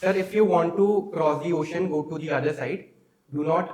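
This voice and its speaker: Room echo is audible around this man's voice. His pitch is fairly high, with ordinary variation. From India, Uttarakhand. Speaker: exam candidate. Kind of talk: mock interview. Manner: hesitant, many fillers; fast.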